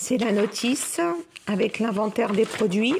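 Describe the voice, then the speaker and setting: Her fairly high voice moves through ordinary pitch variation as the woman talks at a very slow pace. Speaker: crafts YouTuber. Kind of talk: tutorial. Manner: casual, chatty.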